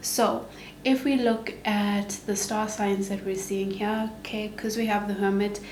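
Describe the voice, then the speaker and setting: A woman speaks at a fairly slow pace with a medium pitch and monotone, flat intonation. Noticeable background noise and audible room echo fill the recording. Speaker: tarot reader. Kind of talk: tarot reading to camera.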